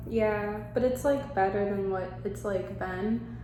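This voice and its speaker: A woman talks at a fairly slow pace. Room echo is audible around her voice. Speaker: vlogger. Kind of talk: personal vlog confession. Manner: halting; hesitant, filler-heavy.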